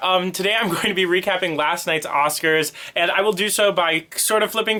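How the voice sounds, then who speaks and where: Over noticeable background noise, a man talks at a fairly quick pace with fairly even intonation and hardly any pauses. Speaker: vlogger. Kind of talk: casual talk to camera. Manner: fast.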